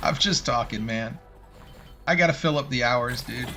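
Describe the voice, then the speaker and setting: Over music in the background, a man mumbles with lively intonation in a slight Southern US accent. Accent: slight Southern twang. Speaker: video game streamer. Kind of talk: live gameplay stream chat. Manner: rambling stream of consciousness.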